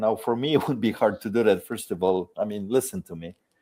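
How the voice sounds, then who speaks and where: The speaker is a man with a strong non-native accent. The recording is very clean, with a silent background. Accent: foreign accent, strong. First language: Polish. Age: 50s. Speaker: video creator and shop owner. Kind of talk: podcast interview.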